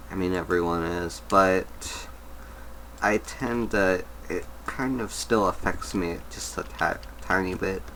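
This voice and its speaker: Someone mumbles at a very slow pace. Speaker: gaming video creator. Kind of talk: gameplay commentary. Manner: mumbling; halting.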